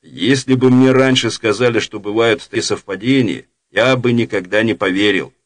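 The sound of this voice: Fairly even intonation marks this unforced reading voice, heard over a quiet background.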